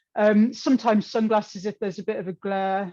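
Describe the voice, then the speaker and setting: Speaking at a fairly quick pace with an English accent, this voice has a dark, mellow tone and fairly even intonation. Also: woman. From England. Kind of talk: presentation talk with slides. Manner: hesitant, many fillers and repeats.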